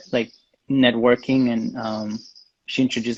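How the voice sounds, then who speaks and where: With a Spanish accent, the speaker talks at a moderate pace in a monotone, flat intonation. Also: man. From Mexico. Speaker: graphic designer. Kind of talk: interview. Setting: livestream video call. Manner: halting.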